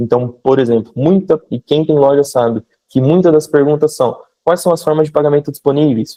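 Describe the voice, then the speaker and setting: Very rapid delivery from a man, fairly high in pitch, his intonation varying in an ordinary way. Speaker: e-commerce mentor. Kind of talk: live online mentoring session.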